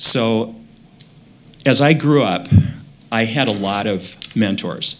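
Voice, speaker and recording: A man with an Upper Midwest accent speaks at a very slow pace, with long, frequent pauses, a medium pitch and ordinary pitch variation. Noticeable background noise runs beneath him. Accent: Upper Midwest American. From Minnesota, Brainerd. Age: 60s. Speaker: school board member. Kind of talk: candidate presentation at public meeting. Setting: televised school board meeting.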